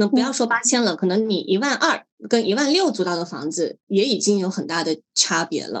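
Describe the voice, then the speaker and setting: A woman's unremarkable speaking voice at a medium pitch, fairly quick in pace, with lively intonation and hardly any pauses. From Guangdong, Hakka, Meizhou. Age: 30s. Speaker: blogger. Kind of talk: podcast interview.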